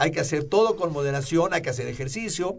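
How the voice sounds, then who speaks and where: A somewhat breathy male voice, fairly high-pitched for a man, with very wide swings in pitch. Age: 60s. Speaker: rheumatologist. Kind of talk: radio health interview.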